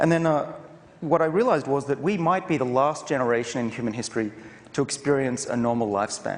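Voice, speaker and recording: Speaking at a very fast pace, a man with an Australian accent has a fairly high pitch. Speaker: professor and researcher. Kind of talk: conference talk. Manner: casual, with hesitations.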